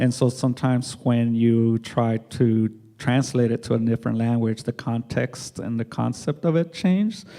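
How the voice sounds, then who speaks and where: Speaking with a Spanish accent, a man uses a dark, mellow tone, a medium pitch and ordinary pitch variation at a moderate pace with hardly any pauses. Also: very clean recording, silent background. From Mexico, raised in US. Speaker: artist. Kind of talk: panel discussion.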